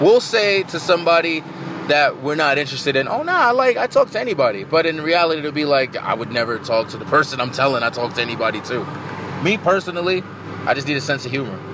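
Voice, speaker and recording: Talking at a very fast pace, a man with a fairly high pitch uses lively intonation over noticeable background noise. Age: 20s. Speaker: podcast host. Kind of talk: casual chat. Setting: in a car.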